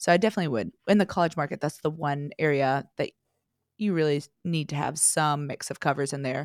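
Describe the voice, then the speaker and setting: At a fairly quick pace, a woman with a slight North Carolina accent speaks at a very deep, low pitch with ordinary pitch variation, the sound dry and close with no echo on a very clean recording with a silent background. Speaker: singer-songwriter. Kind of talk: casual interview chat.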